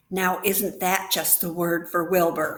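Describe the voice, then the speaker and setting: A put-on character voice from a woman, medium in pitch, flat and monotone, at a fairly slow pace. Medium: read story. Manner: brisk, hearty.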